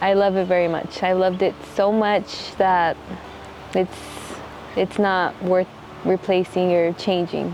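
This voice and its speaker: The speech is monotone and flat in a Texan accent, with very even loudness. Long, frequent pauses break it up over noticeable background noise. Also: woman, medium pitch for a woman. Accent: Texan American English. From Texas, Midland. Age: 20s. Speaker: missionary. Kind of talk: documentary interview testimony. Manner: reflective, halting.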